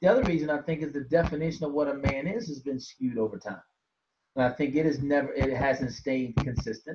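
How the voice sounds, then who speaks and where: This man talks at a very fast pace. His pitch is fairly high, with ordinary pitch variation. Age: 50s. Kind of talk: casual interview chat.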